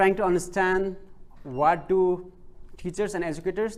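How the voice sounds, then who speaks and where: A man's high-pitched voice, fairly slow, with a non-native accent and audible room echo. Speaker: PhD researcher presenting. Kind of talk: conference presentation. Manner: halting, many fillers.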